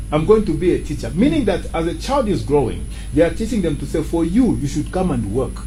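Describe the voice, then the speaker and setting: Speech comes at a very fast pace, with noticeable background noise and audible room echo. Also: man. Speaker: movement ambassador. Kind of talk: interview.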